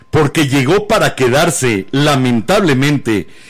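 This man talks at a fairly slow pace with a medium pitch. His pitch swings very widely. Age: 50s. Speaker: podcast host. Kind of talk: casual chat. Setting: live-streamed studio show with video.

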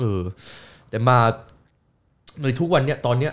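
An unremarkable speaking voice from a man, medium in pitch, with lively intonation. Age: 20s. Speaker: YouTuber. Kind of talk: casual chat.

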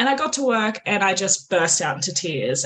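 With an Australian accent, a woman speaks at a moderate pace in a bright, sharp tone with lively intonation. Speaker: author. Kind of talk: casual chat.

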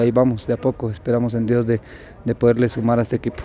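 A man with a Guatemalan accent, medium pitch, flat monotone intonation, very fast pace. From Guatemala, San Marcos. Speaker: professional footballer. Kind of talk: press interview.

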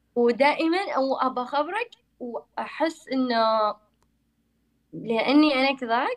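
Her high-pitched voice, with ordinary pitch variation, moves at a very slow pace as the woman talks. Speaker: university graduate, former scholarship student. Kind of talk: casual chat.

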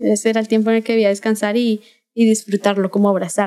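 A woman speaks in a fairly high pitch with a Bogotá accent. Her tone is dark and mellow. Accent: Colombian, Bogotá. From Bogotá, Colombia. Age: 20s. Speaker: graphic designer and illustrator. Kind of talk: casual chat.

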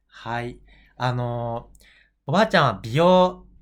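This man's medium-pitched voice is captured in a very clean recording with a silent background. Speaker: podcast host interviewing his grandmother. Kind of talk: casual interview. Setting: at his family home.

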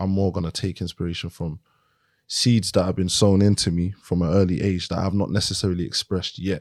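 Someone in a London accent talks at a fairly quick pace. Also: man, very deep, low pitch for a man, very clean recording, silent background. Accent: London, Multicultural London English. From South East London (Lewisham). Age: 20s. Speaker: rapper and producer. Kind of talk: casual chat. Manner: animated.

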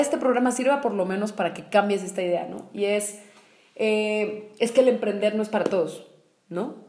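The speaker uses a Mexican accent at a moderate pace. Noticeable background noise is present. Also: woman. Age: 20s. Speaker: podcast co-host, entrepreneur. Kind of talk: casual conversational podcast.

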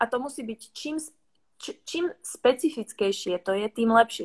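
With a Czech accent, a woman talks at a moderate pace and fairly high pitch in a dry, close sound with no echo. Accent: Czech accent in Slovak. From Czech Republic. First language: Czech (speaking Slovak). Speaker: business consultant. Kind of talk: livestream interview.

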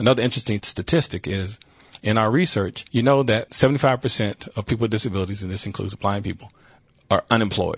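Very fast and somewhat breathy, the voice has ordinary pitch variation in a dry, close sound with no echo. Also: man, medium pitch for a man. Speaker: blind advocate and nonprofit executive. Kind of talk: interview. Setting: studio. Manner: confident.

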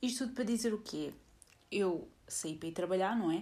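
With a European Portuguese accent, a woman speaks at medium pitch with ordinary pitch variation. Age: 20s. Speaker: podcaster. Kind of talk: casual monologue. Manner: hesitant, many fillers.

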